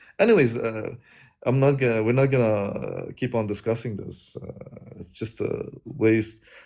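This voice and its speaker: Dark and mellow in tone, the voice moves at a moderate pace with fairly even intonation. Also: man, medium pitch for a man, big swings in loudness. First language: not English. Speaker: guest debater on religious livestream. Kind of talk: debate. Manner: halting, many fillers and restarts.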